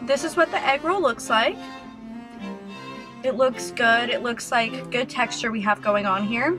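A woman's voice with long, frequent pauses, over clear music in the background. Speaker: YouTuber, food reviewer. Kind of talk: casual talk to camera, food review. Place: car. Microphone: phone near.

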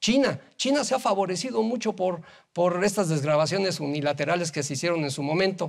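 Against a quiet background, a man with a high pitch speaks fairly quickly, his intonation lively. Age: 60s. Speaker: business association leader; guest. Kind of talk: TV interview. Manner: halting, many fillers and repeated words. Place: studio. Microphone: lapel.

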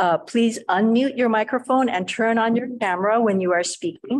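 Her pace moderate, a woman speaks with pitch that varies in an ordinary way. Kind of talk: meeting housekeeping announcements. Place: meeting room. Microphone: podium.

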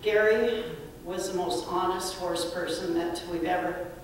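Strong room echo and light background noise surround the voice. Delivery is fairly slow, with monotone, flat intonation. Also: woman. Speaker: speaker. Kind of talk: eulogy storytelling. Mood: warm, reminiscing. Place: church.

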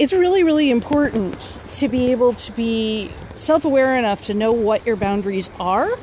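A woman talks at a moderate pace. The sound is dry with no echo, and there is light background noise. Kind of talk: casual vlog chat. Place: waterside. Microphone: phone near.

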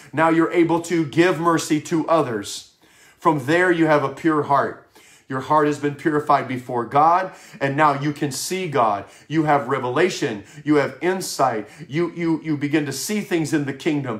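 A man with an American accent and an unremarkable speaking voice, fairly high in pitch with ordinary pitch variation, at a moderate pace over a quiet background. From Wisconsin. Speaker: pastor. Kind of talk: sermon. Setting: home office broadcast. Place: home room. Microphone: webcam.

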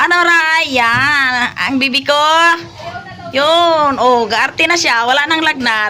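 Over noticeable background noise, a woman uses a raised, projected voice at a high pitch, speaking very slowly with very even loudness and ordinary pitch variation. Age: old. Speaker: family vlogger. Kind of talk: casual vlog narration.

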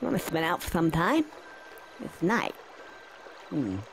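In a cartoonish character voice, a man speaks slowly at a fairly high pitch with big pitch swings and vocal fry, over faint background noise.

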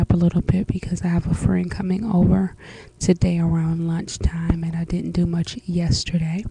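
Quiet and fairly low in pitch, a woman speaks with monotone, flat intonation in a dry sound with no echo. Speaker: vlogger. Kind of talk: casual vlog update. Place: home room. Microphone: webcam.

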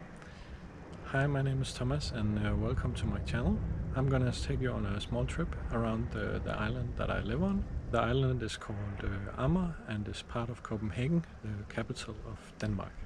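Over noticeable background noise, a man with a very deep, low pitch speaks at a moderate pace in a dry sound with no echo. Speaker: motovlogger. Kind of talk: casual vlog chat. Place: street. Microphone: phone near.

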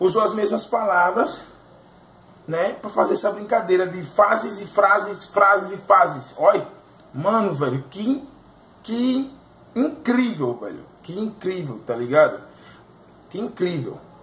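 Delivered at a fairly slow pace with long, frequent pauses, the speech shows big swings in loudness, audible room echo and light background noise. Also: man. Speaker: music reaction youtuber. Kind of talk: casual commentary. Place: home room. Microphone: phone near.

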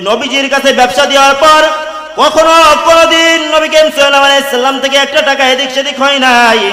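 Noticeable background noise sits under a raised, projected voice. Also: man. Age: young. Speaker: Islamic preacher. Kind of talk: Islamic sermon (waz) delivered to an audience.

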